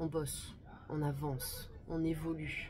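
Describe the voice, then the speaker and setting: A woman speaks at a fairly low pitch. Noticeable background noise and audible room echo fill the recording. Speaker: tarot card reader. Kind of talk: monthly tarot energy reading. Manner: calm, measured; slower than usual.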